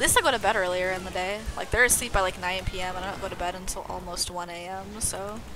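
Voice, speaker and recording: Over noticeable background noise and audible room echo, a woman speaks very fast at a medium pitch, her loudness swinging widely. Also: fairly even intonation. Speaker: video game streamer. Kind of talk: casual chat.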